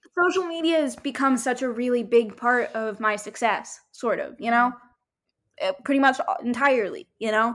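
Speaking at a moderate pace, a woman with a high pitch uses lively intonation and an energetic tone. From Miami. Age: 20s. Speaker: singer-songwriter. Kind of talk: interview conversation.

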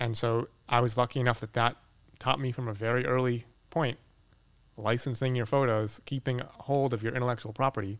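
Speaking at a fairly quick pace, a man with a Boston accent has a medium pitch. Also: fairly even intonation. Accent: Boston American. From Boston, US. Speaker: architectural photographer. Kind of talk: casual interview conversation.

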